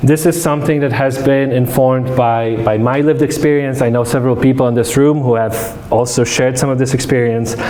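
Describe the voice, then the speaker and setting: Here a man talks at a fairly quick pace in a Polish accent, his intonation fairly even. Noticeable background noise and audible room echo fill the recording. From Poland, moved to Detroit area as a teen. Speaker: academic lecturer. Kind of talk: public lecture. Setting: room with live audience. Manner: many fillers and repetitions.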